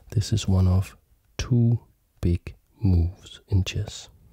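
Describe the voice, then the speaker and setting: The voice is soft-spoken. The sound is dry with no echo, over a quiet background. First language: not German; learning German. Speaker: chess teacher and video creator. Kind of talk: tutorial. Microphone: studio mic.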